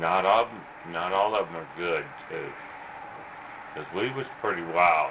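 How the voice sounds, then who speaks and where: Amid noticeable background noise, a man with a very deep, low pitch speaks at a moderate pace, showing big swings in loudness and ordinary pitch variation. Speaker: cattle worker, rodeo. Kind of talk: interview answer.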